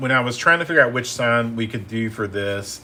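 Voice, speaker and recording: A man's medium-pitched voice with a bright, sharp tone and ordinary pitch variation. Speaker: painting instructor. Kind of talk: live painting tutorial. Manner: casual, many fillers and repeats.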